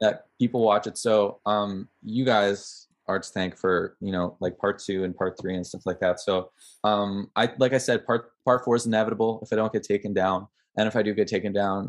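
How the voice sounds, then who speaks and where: A man with a Canadian accent has an ordinary speaking voice at a fairly low pitch. He speaks at a moderate pace. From Canada, Ottawa. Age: 20s. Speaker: film student and documentary maker. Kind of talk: casual chat interview.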